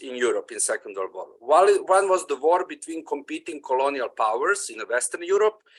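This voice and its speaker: A man's voice with a non-native accent. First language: not English. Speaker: audience member commenting. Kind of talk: Q&A comment. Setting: video call. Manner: halting, many fillers.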